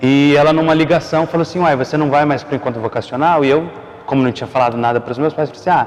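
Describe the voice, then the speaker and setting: Noticeable background noise sits behind a man talking very fast. His voice is fairly high, with fairly even intonation. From Brazil, Mato Grosso do Sul. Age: 20s. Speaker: seminarian. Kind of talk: testimony.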